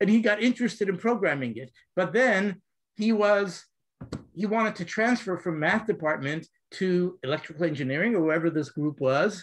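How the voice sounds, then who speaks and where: A man's high-pitched voice at a fairly quick pace, with lively intonation. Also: quiet background. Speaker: computer science professor; professor. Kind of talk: casual chat. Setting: video call. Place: home room. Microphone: video call.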